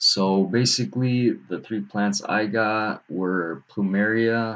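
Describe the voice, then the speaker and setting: Against a quiet background, a man with a fairly low pitch speaks very slowly. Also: fairly even intonation. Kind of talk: casual video talk. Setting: at home, late at night. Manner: quiet, held back; halting, many fillers.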